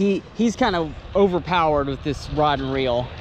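A man's fairly high-pitched voice at a moderate pace, with ordinary pitch variation.

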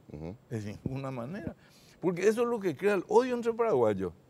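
A man's voice at a moderate pace, with very wide pitch swings and big swings in loudness. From northern Paraguay (Concepción); Paraguay. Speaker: supreme court judge. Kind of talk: TV interview. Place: studio. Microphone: lapel.

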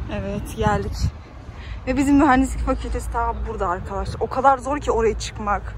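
At a fairly quick pace, a woman speaks with a dry sound with no echo and light background noise. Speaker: university student vlogger. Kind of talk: casual vlog. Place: street. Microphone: phone near.

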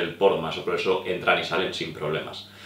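Room echo is audible. The speaker is a man. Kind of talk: tutorial. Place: home room.

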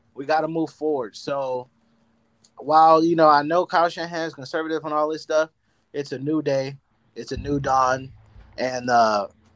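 Here a man speaks in an American accent at a moderate pace. His intonation stays fairly even. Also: long, frequent pauses. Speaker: caller, mosquito control worker. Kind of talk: casual chat. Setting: outdoors.

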